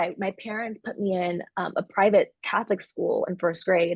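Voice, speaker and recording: With a Californian accent, a woman speaks at a medium pitch with a dry, close sound and no echo. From Los Angeles, San Fernando Valley; early childhood in El Salvador. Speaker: coffee entrepreneur. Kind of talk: interview. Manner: casual, frequent 'like' and 'um'.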